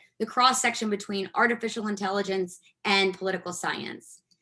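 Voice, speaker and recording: A woman is talking. Her tone is bright and sharp, with ordinary pitch variation. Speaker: technology consultant, guest speaker. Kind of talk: guest lecture in a class. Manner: fast.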